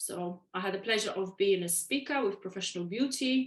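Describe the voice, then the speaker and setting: A woman at a moderate pace with lively intonation and a Polish accent. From Poland. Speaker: waxing educator. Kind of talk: podcast interview.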